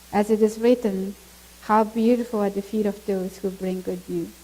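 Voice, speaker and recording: A woman with a Mongolian accent speaks at medium pitch in a monotone, flat delivery, with noticeable background noise. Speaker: missionary speaking at a church. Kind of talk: testimony. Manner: halting.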